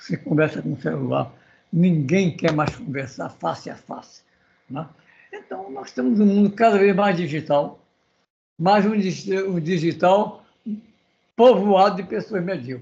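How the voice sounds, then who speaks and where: Lively in intonation, a man speaks with a high pitch and a dark, mellow tone. His pace is fairly slow, with long, frequent pauses. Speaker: seminar participant. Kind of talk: panel discussion.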